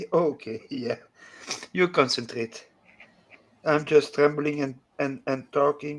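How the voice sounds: A man's fairly high voice, very slow and fairly even, broken by long, frequent pauses.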